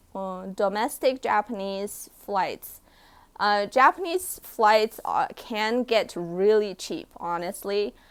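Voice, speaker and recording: A woman's medium-pitched voice in a Chinese accent, very slow, with ordinary pitch variation and a very clean recording over a silent background. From China, raised partly in Canada and US. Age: 20s. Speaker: vlogger. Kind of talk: live stream Q&A. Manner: casual, hesitant with fillers.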